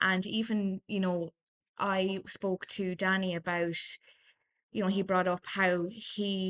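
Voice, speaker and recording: A woman speaks with an Irish accent in a monotone, flat intonation. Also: dry, close sound with no echo, quiet background. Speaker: political journalist. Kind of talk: casual interview.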